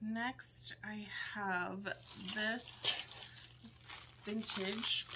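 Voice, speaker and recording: Noticeable background noise runs under this recording. A woman speaks with ordinary pitch variation. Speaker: vintage reseller. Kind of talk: casual vlog chat. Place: home room. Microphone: phone near.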